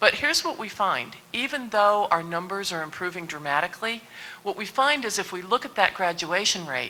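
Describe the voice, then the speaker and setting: A woman at a fairly quick pace, medium pitch with very wide pitch swings, amid noticeable background noise. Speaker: university president. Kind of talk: panel discussion. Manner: fast.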